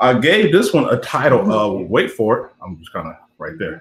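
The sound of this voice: Very wide swings in pitch from a male speaker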